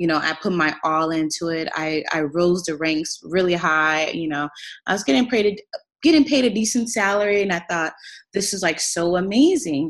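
Heard on a very clean recording with a silent background, a woman with an ordinary speaking voice speaks at a moderate pace, fairly low in pitch, with ordinary pitch variation. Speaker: fashion entrepreneur. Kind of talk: casual chat.

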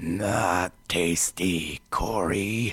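A man puts on a raspy character voice with a very deep, low pitch. His intonation stays fairly even. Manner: whimpering.

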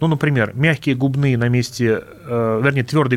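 A man with a normal speaking voice talks at medium pitch and a moderate pace with ordinary pitch variation, recorded very cleanly against a silent background. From Russia, Vladimir region. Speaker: linguist, dialectologist. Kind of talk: radio interview.

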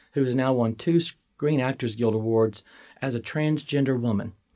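A man with a Southern US accent speaks at a moderate pace, in a medium pitch with ordinary variation and a dark, mellow tone. The recording is very clean, with a silent background. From Mississippi, US Deep South. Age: 50s. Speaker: college administrator. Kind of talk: interview.

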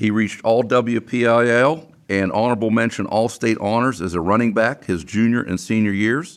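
Speaking in a western Pennsylvania accent, a man keeps a medium pitch, ordinary pitch variation, and a moderate pace. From US, Beaver Falls, western Pennsylvania. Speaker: podcast host. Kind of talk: reading scripted intro; casual interview.

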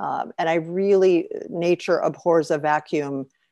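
With a Chicago accent, a woman is heard in a very clean recording with a silent background, dry and close with no echo. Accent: Chicago American. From US Midwest, Chicago. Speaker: author, expat spouse. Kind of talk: interview conversation.

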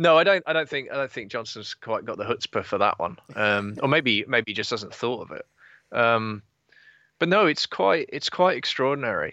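A man with an English accent speaks at medium pitch and a moderate pace, his pitch swinging very widely. The sound is dry and close with no echo, and the background is quiet. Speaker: political commentator. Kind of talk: casual chat.

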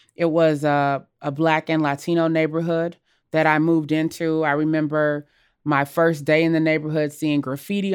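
Speaking at a moderate pace with an American accent, a woman with a very deep, low voice talks in a monotone, flat way, in a very clean recording with a silent background. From US South and Los Angeles. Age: 40s. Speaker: civil rights attorney. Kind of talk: personal reflection.

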